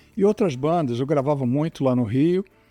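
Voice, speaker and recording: A man speaking at a moderate pace. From Rio de Janeiro, Brazil. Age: 70s. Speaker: plane crash survivor. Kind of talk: interview testimony.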